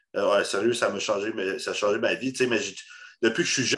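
A quiet background behind a man's fairly slow delivery. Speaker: podcast host, bodybuilding. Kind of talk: casual chat.

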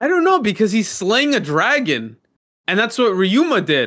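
A man's high, bright, sharp voice at a moderate pace, animated in tone with very wide pitch swings. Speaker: podcast co-host. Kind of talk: casual chat.

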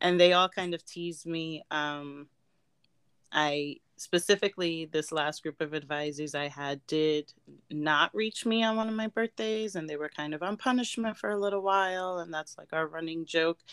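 This woman has an ordinary speaking voice, fairly low in pitch, with ordinary pitch variation at a moderate pace. The very clean recording, silent background gives a dry, close sound with no echo. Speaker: podcast host. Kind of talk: casual chat.

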